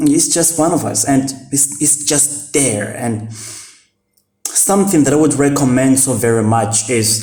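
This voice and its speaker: A man talks at a fairly slow pace with ordinary pitch variation. Room echo is audible. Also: fairly high pitch for a man. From Mozambique. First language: Portuguese. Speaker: vlogger. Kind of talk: casual talk to camera. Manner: halting, many fillers.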